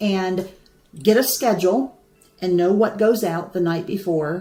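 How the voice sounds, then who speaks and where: A woman talks at a medium pitch with an American accent. Noticeable background noise sits behind her. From United States. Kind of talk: live stream talk to viewers. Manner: casual, chatty.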